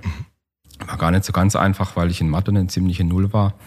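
This man has a very deep, low voice and talks at a fairly quick pace. His intonation is fairly even. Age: 40s. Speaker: architect and urban planner. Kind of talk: casual interview. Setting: meeting room. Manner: hesitant, many fillers.

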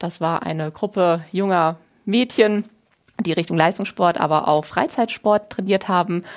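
A plain, everyday voice from a woman: medium pitch, ordinary pitch variation, moderate pace. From Germany, Wiesbaden (Hesse). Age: 30s. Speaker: financial consultant. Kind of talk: podcast interview. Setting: studio.

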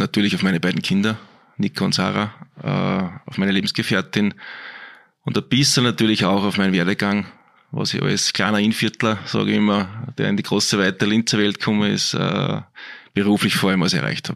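A man's fairly low voice with vocal fry, ordinary pitch variation and a fairly quick pace. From Austria, Innviertel (Upper Austria). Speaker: sports physiotherapist. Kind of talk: casual interview.

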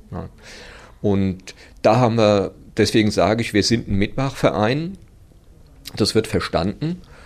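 A man with a fairly low pitch speaks at a fairly slow pace, with ordinary pitch variation and long, frequent pauses. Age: 60s. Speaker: running club chairman. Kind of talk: interview. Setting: studio.

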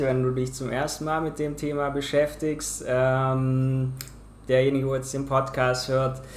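A fairly high-pitched man at a fairly slow pace, with audible room echo. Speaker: podcast host. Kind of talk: casual interview.

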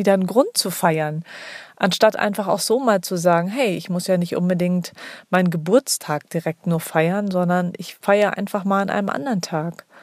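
An unremarkable speaking voice from a woman, medium in pitch, with ordinary pitch variation and a moderate pace, captured as a very clean recording with a silent background and a dry, close sound lacking echo. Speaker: podcast host. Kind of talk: solo monologue.

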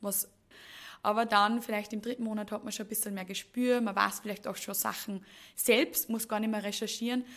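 A woman's fairly high voice at a moderate pace, flat and monotone in intonation. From Upper Austria, Mühlviertel. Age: 20s. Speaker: HR manager. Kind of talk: podcast interview.

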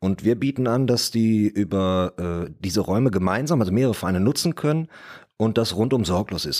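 A plain, everyday voice moves at a fairly quick pace with ordinary pitch variation, on a very clean recording with a silent background. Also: man. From Ruhr area, Germany (Bottrop). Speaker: property developer. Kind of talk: casual discussion. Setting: podcast studio.

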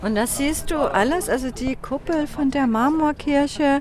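The speaker is a woman. She has a Danish accent. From Denmark, Copenhagen. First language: Danish (speaking German). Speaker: tour guide. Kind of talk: guided city tour. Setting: outdoors in the city. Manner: hesitant, many fillers.

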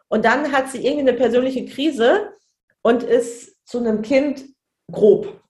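High-pitched speech from a woman at a fairly slow pace, with ordinary pitch variation. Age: 30s. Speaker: childcare manager and trainer. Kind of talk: casual interview.

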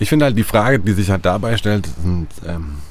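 A man's very deep, low voice with lively intonation, set against noticeable background noise. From Germany. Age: 30s. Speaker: guest, lives in a van. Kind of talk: casual conversation. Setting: inside a parked van by the Atlantic.

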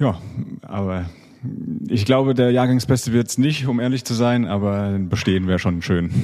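At a moderate pace, the voice shifts pitch in an ordinary way. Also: man. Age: 30s. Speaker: professional handball player. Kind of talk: casual interview. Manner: hesitant, many fillers.

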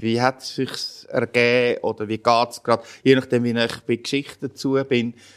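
A man with a Swiss accent, medium pitch, moderate pace. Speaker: pastor. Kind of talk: interview.

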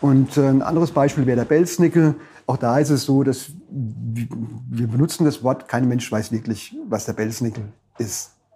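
Speaking at a fairly slow pace, a man has a dark, mellow tone that is somewhat breathy. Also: medium pitch for a man, ordinary pitch variation. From Palatinate, Germany (Frankenthal). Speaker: dialectologist and publisher. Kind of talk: interview conversation.

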